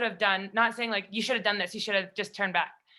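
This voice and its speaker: In a Canadian accent, a woman speaks loudly with a fairly high pitch and a bright, sharp tone on a very clean recording with a silent background. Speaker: national team hockey player. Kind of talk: panel discussion.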